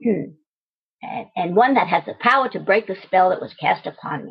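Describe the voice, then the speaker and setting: Here a woman uses a put-on character voice. She holds a medium pitch at a moderate pace. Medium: solo performance. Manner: insistent, bargaining.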